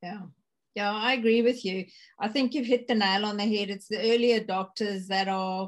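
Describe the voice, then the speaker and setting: An unremarkable speaking voice, a woman's, medium in pitch with fairly even intonation, at a moderate pace over a quiet background. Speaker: podcast host. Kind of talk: interview.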